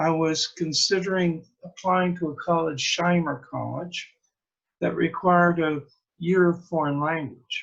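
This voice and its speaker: Talking at a very slow pace, a man uses fairly even intonation and high pitch. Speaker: priest and blogger. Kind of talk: reading aloud own blog posts. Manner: casual, halting with fillers.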